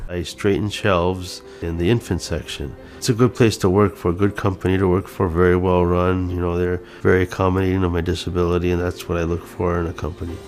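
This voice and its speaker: A man with a very deep, low pitch talks at a very fast pace with hardly any pauses. His intonation is fairly even, and music plays in the background. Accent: American. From Michigan, Upper Peninsula. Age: young. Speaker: self-advocate, board member. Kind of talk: interview testimony.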